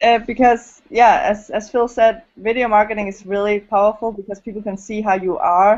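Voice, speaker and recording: A woman's fairly high voice in a Danish accent, at a moderate pace with fairly even intonation and big swings in loudness. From Denmark. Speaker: network marketer and video blogger. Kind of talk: group video call discussion. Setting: online video hangout. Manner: halting.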